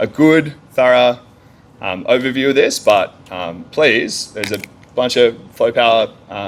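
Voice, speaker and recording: The speaker talks at a fairly slow pace in an Australian accent. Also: man. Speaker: energy engineer. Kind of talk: conference talk. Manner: loud.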